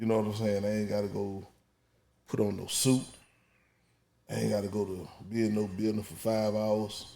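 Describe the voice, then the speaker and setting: Amid audible room echo, a man with an American accent speaks at a moderate pace and fairly low pitch in a dark, mellow tone, his intonation monotone and flat, with long, frequent pauses. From Georgia, Warner Robins. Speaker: podcast host. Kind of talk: casual chat. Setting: studio.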